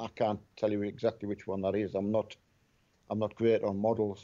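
Speaking in a Scottish accent, a man delivers flat, monotone lines at a fairly quick pace in a dark, mellow tone. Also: quiet background. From Scotland. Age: 50s. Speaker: gamer's father. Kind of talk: casual chat. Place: home room. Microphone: headset.

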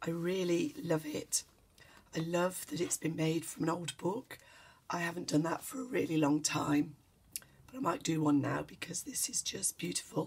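A woman's fairly low voice with vocal fry, ordinary pitch variation and a moderate pace. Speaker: journal maker. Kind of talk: casual talk to camera. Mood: warm, appreciative. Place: home room. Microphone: camera far.

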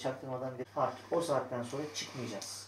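A man's fairly quick delivery comes through noticeable background noise. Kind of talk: pre-show notes to actors. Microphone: camera far.

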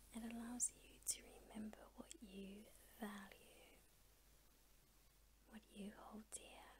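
Against noticeable background noise, a woman with a gentle tone speaks very slowly, with long, frequent pauses and big swings in loudness. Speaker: ASMR artist. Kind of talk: ASMR girlfriend roleplay. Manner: gentle, comforting. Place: home room. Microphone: studio mic.

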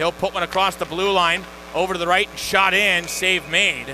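A man's raised, projected voice at a moderate pace, with noticeable background noise. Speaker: hockey play-by-play announcer. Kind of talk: live sports commentary, play-by-play of a hockey game. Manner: animated, rising excitement on goals.

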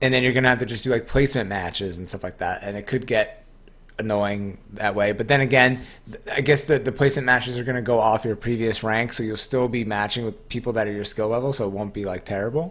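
Very fast in pace, a man talks at medium pitch with fairly even intonation. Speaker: gaming podcast host. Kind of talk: casual chat. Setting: live-streamed online podcast. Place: home room.

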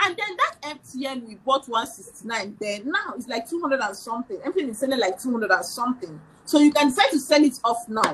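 A woman talks at a moderate pace in a high voice, with very wide pitch swings and big shifts in loudness. She hardly pauses, and light background noise can be heard. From Nigeria. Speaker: financial educator; guest. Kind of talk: casual chat. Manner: animated. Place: home room. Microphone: video call.

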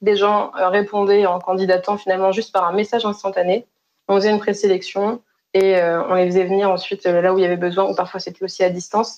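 Her intonation monotone and flat, a woman talks fairly quickly at a medium pitch. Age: 20s. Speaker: health innovation consultant; keynote speaker. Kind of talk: conference keynote talk. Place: home room. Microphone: webcam.

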